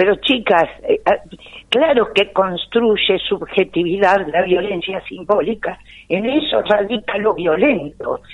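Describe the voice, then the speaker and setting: A woman speaks very slowly, her pitch medium for a woman and her intonation lively. Her loudness stays very even. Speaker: lawyer, gender issues specialist. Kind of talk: phone interview.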